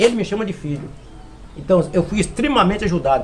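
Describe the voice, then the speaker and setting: A man with a high voice talks at a fairly quick pace over noticeable background noise. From Brazil, Minas Gerais (Serra dos Aimorés). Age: 60s. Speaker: florist and forestry worker. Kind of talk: interview. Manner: hesitant, repetitive fillers.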